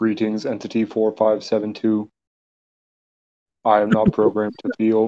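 In a put-on, robotic character voice, a man speaks fairly slowly at a medium pitch, with long, frequent pauses. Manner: flat, mechanical.

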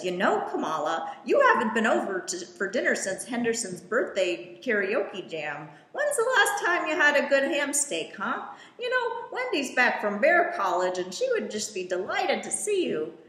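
A put-on character voice comes through with a slight echo and light background noise. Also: woman, high pitch for a woman, moderate pace. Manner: rambling, chatty.

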